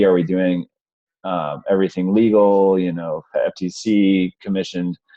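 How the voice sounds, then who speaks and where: The man's voice is very deep and low. His intonation stays monotone and flat. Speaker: webinar host for a sales community. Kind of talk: online webinar presentation. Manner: quiet, holding back volume; hesitant, many fillers.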